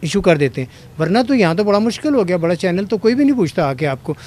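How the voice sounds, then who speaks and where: A man talks with lively intonation. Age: 60s. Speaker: former actor and radio host turned mechanic. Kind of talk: interview.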